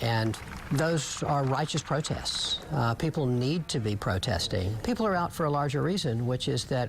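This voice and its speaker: A man talks at a moderate pace with medium pitch and ordinary pitch variation. Noticeable background noise runs behind him. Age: 60s. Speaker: city mayor. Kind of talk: news interview. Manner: hesitant, with filler words.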